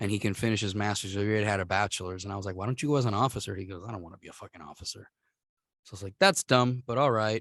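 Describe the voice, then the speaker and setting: Speaking very fast with a Puerto Rican accent, a man keeps a fairly low pitch with ordinary pitch variation and big swings in loudness, in a dry, close sound with no echo. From Puerto Rico. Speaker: podcast host. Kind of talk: casual chat.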